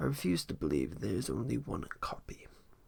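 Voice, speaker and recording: Putting on a character voice, a man speaks at a fairly quick pace in a raspy, very deep, low pitch that swings very widely. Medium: read story. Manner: wry, sharp.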